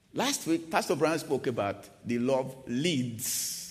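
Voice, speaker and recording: The man's pitch is fairly high. He speaks at a very slow pace. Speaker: preacher. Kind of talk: sermon. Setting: church. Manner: animated.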